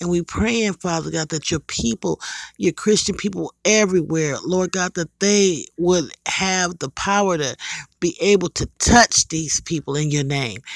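Fairly slow and high-pitched, a man's voice shows ordinary pitch variation in a dry, close sound with no echo. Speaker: prayer leader. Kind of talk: fervent intercessory prayer. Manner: earnest, pleading, repetitive.

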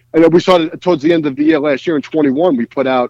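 Lively intonation marks this voice in a New York accent, recorded with a dry, close sound and no echo. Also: man. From New York City, Brooklyn (Bensonhurst). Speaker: cigar brand co-founder. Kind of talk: casual interview chat.

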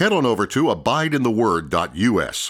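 A medium-pitched man's voice with vocal fry and very wide pitch swings, on a very clean recording with a silent background. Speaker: radio announcer. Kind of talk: scripted radio introduction.

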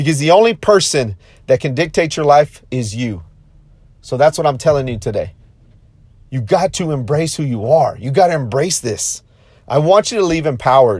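Over a silent background in a very clean recording, a man with a fairly high, somewhat breathy voice speaks at a moderate pace. His tone is animated and his intonation lively, broken by long, frequent pauses. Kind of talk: pep talk. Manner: animated, high-energy, rallying; repetitive, emphatic, punchy.

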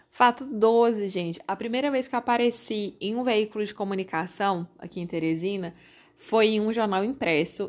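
A woman with an ordinary speaking voice talks at a moderate pace in a fairly high pitch. Her pitch varies in an ordinary way, and the recording is very clean with a silent background. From Brazil, Corrente (Piauí). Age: 30s. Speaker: podcast host. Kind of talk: casual monologue.

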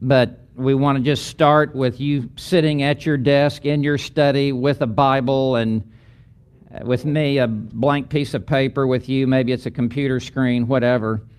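A man's plain, everyday voice at a medium pitch, with fairly even intonation and a fairly slow pace. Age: 60s. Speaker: pastor and seminary lecturer. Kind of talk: lecture.

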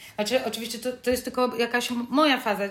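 The speaker is a woman with a high-pitched voice. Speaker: podcast co-host. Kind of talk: casual chat. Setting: recording at home in mother's apartment.

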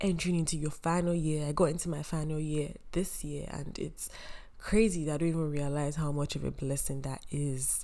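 Fairly quick, monotone speech from a woman with a very deep, low pitch and a dark, mellow tone, amid audible room echo. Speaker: podcast host, university student. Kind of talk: casual solo podcast monologue.

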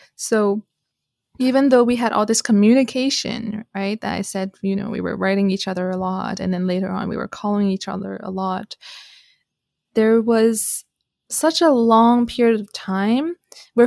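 A woman with an ordinary speaking voice in a Canadian accent, medium pitch and ordinary pitch variation, at a moderate pace, in a dry, close sound with no echo. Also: very clean recording, silent background. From Canada. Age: 20s. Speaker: relationship coach. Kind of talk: casual chat.

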